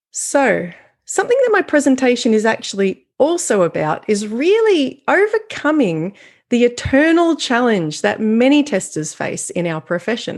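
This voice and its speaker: With an Australian accent, a woman speaks at a high pitch with very wide pitch swings. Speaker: software quality consultant. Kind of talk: conference keynote. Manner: clear, deliberate.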